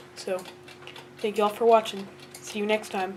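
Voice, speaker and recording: A woman speaks with monotone, flat intonation over noticeable background noise. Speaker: antique clock collector. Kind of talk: casual talk to camera.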